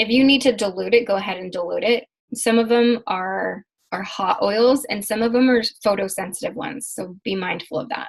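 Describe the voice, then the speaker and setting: A woman speaks in a fairly high pitch with a somewhat breathy voice. Her pitch varies in an ordinary way. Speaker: emotion and mindset coach. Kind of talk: online class lesson.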